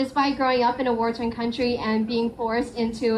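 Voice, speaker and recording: Over noticeable background noise, a woman with an American accent speaks at a fairly quick pace. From US. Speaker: student association leader. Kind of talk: speech.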